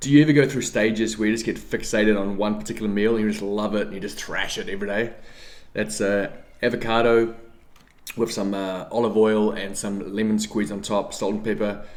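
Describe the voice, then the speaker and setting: A man speaks at a fairly quick pace with a fairly low pitch. Room echo is audible. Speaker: fitness YouTuber. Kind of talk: casual vlog talk. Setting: home, kitchen then office. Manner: animated.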